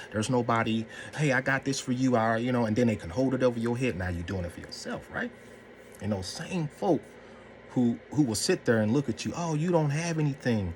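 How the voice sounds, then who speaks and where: Fairly quick male speech with lively intonation against noticeable background noise. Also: medium pitch for a man. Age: 40s. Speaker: mental health vlogger. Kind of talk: casual talk to camera.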